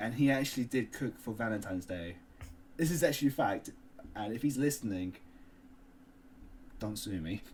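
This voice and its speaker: A man with a Cockney accent, somewhat breathy and medium-pitched, at a fairly quick pace with lively intonation and long, frequent pauses. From London. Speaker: podcast co-host. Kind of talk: casual chat.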